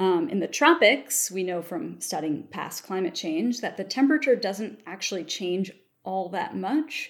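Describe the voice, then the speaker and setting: A woman speaks with an American accent at a moderate pace, her medium pitch touched with vocal fry. The recording is very clean, with a silent background. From US Mid-Atlantic (Baltimore, Maryland). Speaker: paleoclimatologist. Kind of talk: interview.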